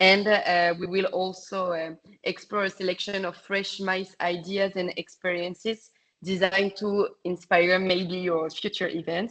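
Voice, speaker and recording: Speaking at a fairly slow pace with a strong French accent, a woman keeps her intonation monotone and flat. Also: medium pitch for a woman. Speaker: travel industry sales representative. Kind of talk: webinar presentation. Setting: online webinar. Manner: halting, many fillers.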